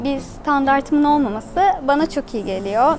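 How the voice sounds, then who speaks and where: Clear music plays behind a woman speaking at a moderate pace in a high voice. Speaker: travel vlogger. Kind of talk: casual vlog chat. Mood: relaxed, cheerful. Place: tent. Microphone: phone near.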